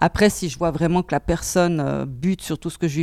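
Talking at a fairly quick pace in a Swiss German accent, a woman has a very deep, low, dark and mellow voice with vocal fry, recorded dry and close with no echo. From German-speaking Switzerland. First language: Swiss German (speaking French). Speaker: bookseller. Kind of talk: interview. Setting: bookshop before opening.

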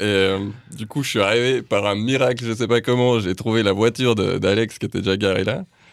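An ordinary speaking voice from a man at a medium pitch and moderate pace. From Geneva, Switzerland. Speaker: rock drummer. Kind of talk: casual radio interview.

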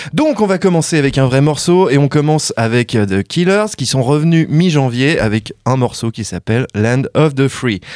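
Over a very clean recording with a silent background, a man uses an ordinary speaking voice with lively intonation at a moderate pace. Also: fairly high pitch for a man. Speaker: radio co-host. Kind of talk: radio show banter. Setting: studio.

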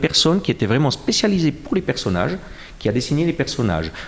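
A man with a Jura Swiss accent, a fairly high pitch and a fairly quick pace. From Switzerland, Jura. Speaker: comic book author. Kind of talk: interview. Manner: halting, many repetitions and fillers.

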